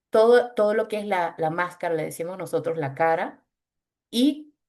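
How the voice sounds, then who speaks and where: The voice belongs to a woman. Very wide swings mark her pitch. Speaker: voice specialist. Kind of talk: webinar talk.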